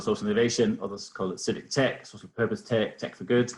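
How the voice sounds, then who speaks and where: A somewhat breathy man of medium pitch speaks with a slight Danish accent. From Denmark. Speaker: innovation foundation researcher. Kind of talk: webinar presentation. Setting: video call webinar. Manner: hesitant, many fillers.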